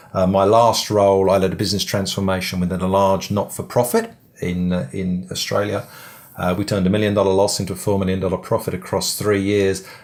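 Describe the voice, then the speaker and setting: The speaker talks at a fairly quick pace in an English accent, with fairly even intonation. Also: man. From England. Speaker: business coach. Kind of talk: webinar presentation. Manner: halting, many fillers.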